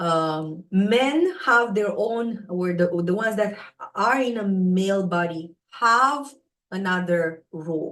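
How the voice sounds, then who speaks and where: Very slowly, a woman speaks at medium pitch with a non-native accent and ordinary pitch variation. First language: not English. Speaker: spiritual teacher, astrology live host. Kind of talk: live stream talk. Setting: live stream on social media. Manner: hesitant, many fillers.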